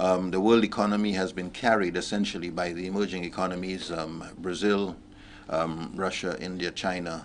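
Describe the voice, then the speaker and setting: This man has a very deep, low pitch and a monotone, flat intonation. He speaks at a moderate pace over light background noise. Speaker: guest. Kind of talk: interview answer. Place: studio.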